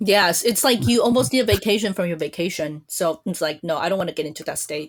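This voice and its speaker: A woman with a Chinese accent and a fairly low voice, very fast, with lively intonation. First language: Mandarin Chinese. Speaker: podcast host. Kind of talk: casual chat. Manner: chatty.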